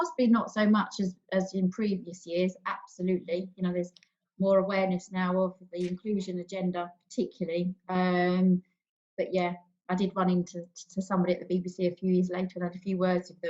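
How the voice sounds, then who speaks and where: In a London accent, a woman at a medium pitch talks at a fairly quick pace with monotone, flat intonation. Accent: estuary English, London and South East. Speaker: panel guest, PR expert. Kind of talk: panel discussion.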